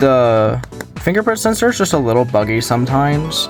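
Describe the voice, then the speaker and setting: Lively intonation marks this man's fairly quick delivery. Behind him, there is music. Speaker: tech video uploader. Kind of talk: casual unboxing talk to camera.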